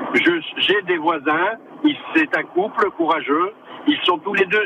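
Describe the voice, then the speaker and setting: Lively intonation in a man's high-pitched voice, set against noticeable background noise. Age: 60s. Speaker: radio caller, retired civil servant. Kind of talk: call-in comment.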